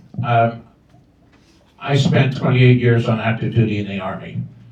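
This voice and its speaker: A man at medium pitch and a moderate pace, with fairly even intonation and audible room echo. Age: 70s. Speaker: school board candidate, army veteran. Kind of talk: candidate forum answers. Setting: open house with audience.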